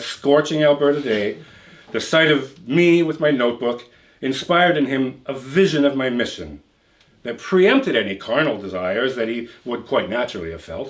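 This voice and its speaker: With a plain, everyday voice, a man speaks at a fairly high pitch and a moderate pace, his intonation lively. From Canada. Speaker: writer. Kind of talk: fiction reading.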